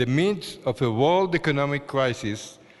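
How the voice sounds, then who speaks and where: A man with an Israeli accent speaks in a medium pitch with lively intonation over noticeable background noise. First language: Hebrew. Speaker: award-winning scientist. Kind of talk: award acceptance speech. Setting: ceremony hall. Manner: formal.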